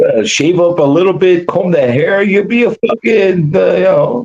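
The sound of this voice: A man speaks at a moderate pace and a high pitch with ordinary pitch variation. His slightly mellow tone carries a slightly husky edge and vocal fry.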